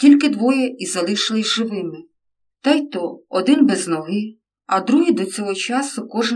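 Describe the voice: In this plain reading aloud, nothing but a quiet background surrounds the voice.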